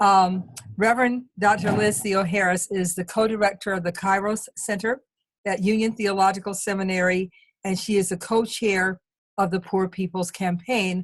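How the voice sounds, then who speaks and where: At a moderate pace, a woman speaks with a somewhat breathy voice, medium pitch and fairly even intonation. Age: 70s. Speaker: activist and webinar moderator. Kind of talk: panel introduction. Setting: video call. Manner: halting.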